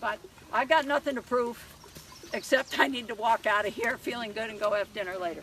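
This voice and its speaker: Over noticeable background noise, a woman uses a raised, projected voice with lively intonation. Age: 60s. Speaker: horse trainer. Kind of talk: live demonstration with audience.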